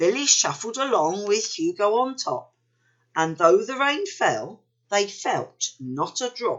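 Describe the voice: The background is quiet. The delivery is plain reading aloud.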